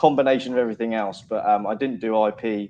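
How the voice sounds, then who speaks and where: A man with a Portsmouth accent speaks at medium pitch with fairly even intonation. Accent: Portsmouth accent, between London and Bristol. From southern England, Portsmouth. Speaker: junior lawyer. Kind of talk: panel talk at virtual event. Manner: halting, many fillers.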